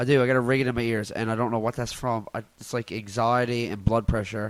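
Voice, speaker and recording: Speaking very fast in a Newfoundland accent, a man keeps a medium pitch and a flat, monotone delivery. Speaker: comedian podcaster. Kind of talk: casual solo podcast rant. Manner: loud.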